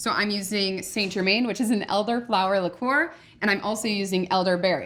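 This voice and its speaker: With a Midwestern US accent, a woman talks in a playful tone at a medium pitch. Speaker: chef. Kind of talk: cooking tutorial. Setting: test kitchen. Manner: casual, playful.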